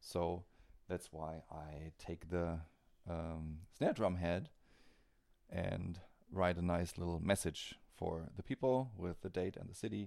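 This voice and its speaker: With a German accent, a man talks at a very slow pace, leaving long, frequent pauses. His pitch is very deep and low, with a dark, mellow tone and ordinary pitch variation. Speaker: metal drummer. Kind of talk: casual interview. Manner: halting.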